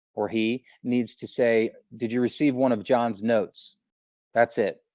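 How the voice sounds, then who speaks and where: The man speaks at a medium pitch in a flat, monotone delivery. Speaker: sales trainer. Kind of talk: training session. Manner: fast.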